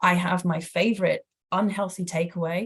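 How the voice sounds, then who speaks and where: A woman speaks with a British accent, her intonation fairly even and her voice somewhat breathy. The background is quiet. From Britain. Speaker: professor, former palliative care nurse. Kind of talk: lecture Q&A answer.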